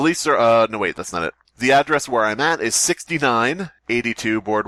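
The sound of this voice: A quiet background sits behind the voice. It is an unforced reading voice.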